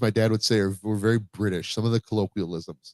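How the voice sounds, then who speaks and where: A man's voice in a dry, close sound with no echo. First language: Spanish. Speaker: podcast host. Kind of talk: casual chat. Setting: home, live stream. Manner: halting.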